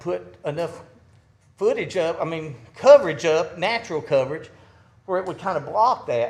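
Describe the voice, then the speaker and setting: This man speaks with an Alabama accent. His pitch is high. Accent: Southern US (Alabama). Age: 60s. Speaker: resident speaking at public meeting. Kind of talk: public comment at city meeting. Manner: halting.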